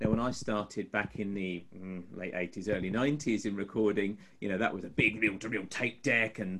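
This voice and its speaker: An unremarkable speaking voice from a man, pitched fairly low and moving at a moderate pace. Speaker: web designer and musician. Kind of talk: casual chat.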